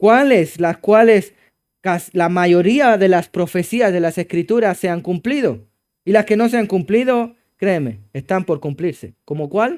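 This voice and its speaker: A man with a Chilean accent speaks in a high pitch at a fairly slow pace with lively intonation, on a very clean recording with a silent background. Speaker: pastor. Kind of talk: sermon.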